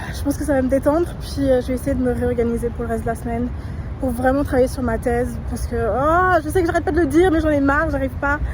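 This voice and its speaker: A woman talking at a very fast pace, with audible room echo and noticeable background noise. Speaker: vlogger. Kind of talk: casual vlog. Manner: loud.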